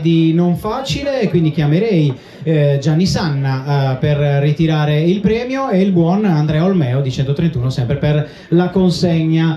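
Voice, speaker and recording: Lively intonation at a fairly slow pace, with audible room echo and noticeable background noise. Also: man. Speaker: awards ceremony presenter. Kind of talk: live event presenting. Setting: stage with audience.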